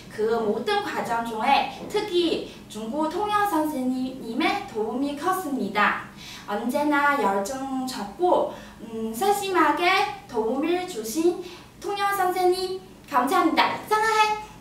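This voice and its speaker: A woman speaks very slowly at a high pitch, her voice swinging very widely up and down. Noticeable background noise and audible room echo fill the recording. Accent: Chinese. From China. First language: Chinese (speaking Korean). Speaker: immigrant speech contestant. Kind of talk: prepared speech. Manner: halting, many fillers.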